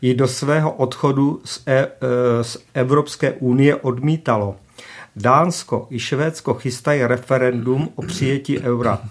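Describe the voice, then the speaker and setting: A man with a plain, everyday voice talks at medium pitch with fairly even intonation and a fairly slow pace. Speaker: economist. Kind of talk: radio talk show interview. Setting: studio.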